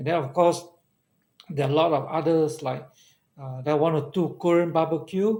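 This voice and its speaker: Speaking at a moderate pace, a man talks in a Malaysian accent. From Malaysia, Kedah (Alor Setar). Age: 60s. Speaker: regular live-show commentator. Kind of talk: casual live-stream chat. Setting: live stream.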